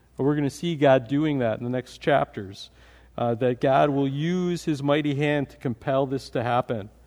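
Using ordinary pitch variation, a man speaks at a fairly high pitch and a moderate pace. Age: 40s. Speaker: pastor. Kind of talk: sermon. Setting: church. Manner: halting.

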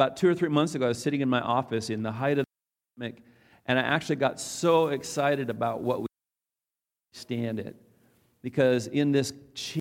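In an American accent, a man with medium pitch talks at a fairly quick pace in an animated tone. The recording is very clean, with a silent background. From North Dakota, US. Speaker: pastor. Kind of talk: sermon.

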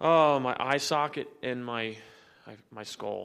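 A man at a medium pitch with ordinary pitch variation, on a very clean recording with a silent background. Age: 30s. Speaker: church member sharing testimony. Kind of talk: testimony. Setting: church. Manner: halting.

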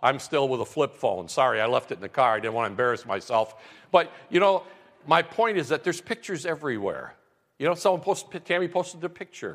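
Talking very fast with vocal fry, a man with a fairly high pitch swings very widely up and down. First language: non-English (immigrated at seven). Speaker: campus pastor. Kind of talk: sermon. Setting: church. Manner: warm, conversational.

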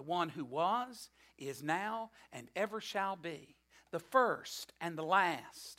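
Speaking at a very slow pace, a woman lets her intonation stay lively. Each phrase unfolds unhurriedly. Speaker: preacher. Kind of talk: sermon. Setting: church.

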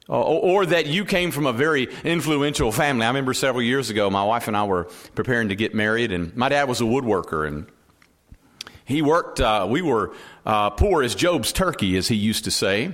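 With a Southern US accent, a man talks at a fairly quick pace in a medium pitch with very wide pitch swings. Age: 40s. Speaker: pastor. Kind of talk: sermon. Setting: church.

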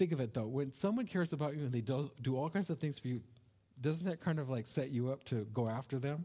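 Speaking very fast, a man uses a dark, mellow, somewhat breathy tone with ordinary pitch variation on a very clean recording with a silent background. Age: 60s. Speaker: pastor. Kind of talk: sermon. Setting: church.

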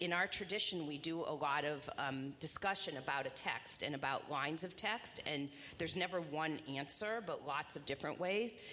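A woman with an American accent speaks at a fairly low pitch with lively intonation. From Indiana, Indianapolis. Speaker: rabbi. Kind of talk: onstage interview in church.

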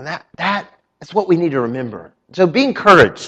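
Someone speaks in a Southern US accent with very wide pitch swings. The pace is moderate. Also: man. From North Carolina. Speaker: pastor. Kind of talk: sermon. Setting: church.

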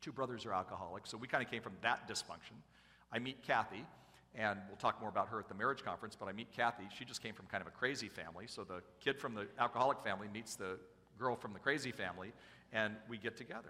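Talking at a very fast pace, a man uses a bright, sharp tone at medium pitch with ordinary pitch variation. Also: big swings in loudness. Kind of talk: sermon. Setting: church.

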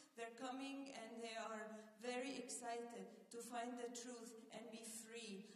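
A woman speaks at a fairly slow pace in a fairly high, monotone, flat voice, with noticeable background noise and audible room echo. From Egypt. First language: Arabic. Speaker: missionary. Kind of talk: sermon. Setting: church.

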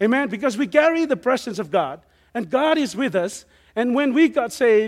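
In a very clean recording with a silent background, a man with a Samoan accent talks at a fairly quick pace in an extremely high pitch. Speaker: missionary preacher. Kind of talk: sermon. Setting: church with congregation.

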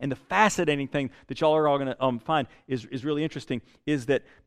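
A man speaks with a Southern US accent. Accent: Southern US (Georgia). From US South, South Georgia. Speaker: pastor. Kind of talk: sermon. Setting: church. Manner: halting, many fillers and repeats.

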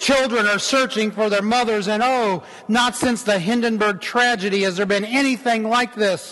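The speech uses an unforced reading voice with fairly even intonation.

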